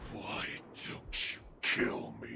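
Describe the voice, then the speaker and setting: A man's growling, put-on character voice over clear background noise. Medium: video game. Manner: defiant.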